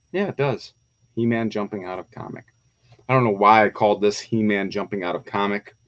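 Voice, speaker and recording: A fairly low male voice at a fairly quick pace, big swings in loudness, dry and close with no echo. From Windsor, Ontario, Canada. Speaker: toy collector YouTuber. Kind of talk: live stream chat. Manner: fast; animated.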